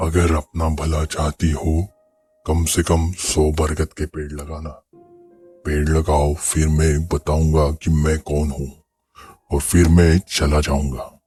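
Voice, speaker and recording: Using a put-on character voice, a man speaks very deep and low in a monotone, flat way at a fairly slow pace, with faint music in the background. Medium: read story. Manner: laughing, domineering.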